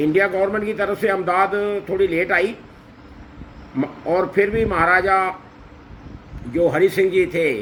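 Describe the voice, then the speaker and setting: A man speaks in a high voice with fairly even intonation, pausing long and often. Noticeable background noise runs underneath. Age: 60s. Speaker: social commentator. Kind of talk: condolence address.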